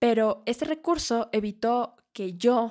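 A woman speaks at a fairly high pitch with a warm tone. Her pitch varies in an ordinary way on a very clean recording with a silent background. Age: 20s. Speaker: podcast host, architect. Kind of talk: personal testimony monologue. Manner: warm, conversational.

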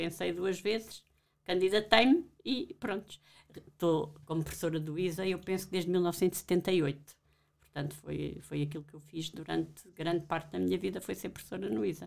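A woman talks at a moderate pace with vocal fry. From Portugal, Alentejo. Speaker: professor. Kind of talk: interview.

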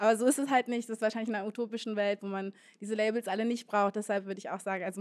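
Her pitch medium, a woman speaks with monotone, flat intonation. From Berlin (Moabit). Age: 20s. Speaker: DJ. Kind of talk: live panel discussion. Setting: stage with audience.

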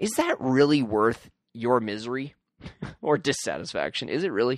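At a moderate pace, a man talks at a medium pitch with big pitch swings.

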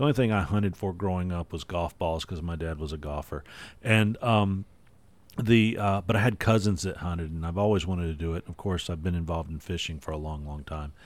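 A man with a very deep, low pitch and ordinary pitch variation speaks at a fairly quick pace in a very clean recording with a silent background. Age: 50s. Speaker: podcast host. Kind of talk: casual chat.

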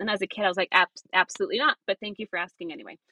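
A woman's very fast delivery with an American accent, a medium pitch, and lively intonation. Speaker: missionary. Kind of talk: interview, testimony.

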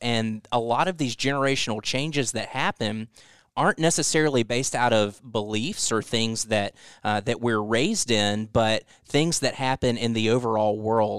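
A man with an unremarkable speaking voice and a medium pitch talks at a moderate pace with ordinary pitch variation. The sound is dry and close with no echo, over a quiet background. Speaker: next generation pastor. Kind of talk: casual chat.

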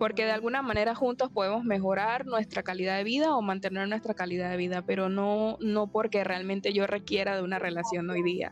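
A woman talks in an unremarkable speaking voice at medium pitch. Her pace is fairly quick, with hardly any pauses and fairly even intonation. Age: 20s. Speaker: health sciences teacher. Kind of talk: casual chat.

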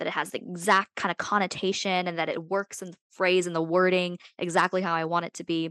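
The voice is a normal speaking voice. The sound is dry and close with no echo, against a quiet background. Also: woman. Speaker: podcast host. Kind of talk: casual chat.

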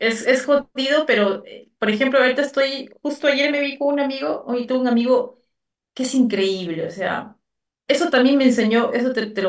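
Her pitch is high, with ordinary variation. The woman talks at a moderate pace. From Peru, Lima. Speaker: writer and actress. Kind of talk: interview.

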